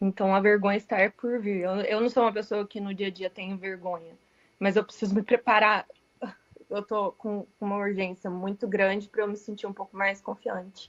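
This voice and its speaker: In a dry, close sound with no echo, a woman speaks at a moderate pace in a medium pitch with monotone, flat intonation. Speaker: radiologist, class participant. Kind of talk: casual chat, sharing experience.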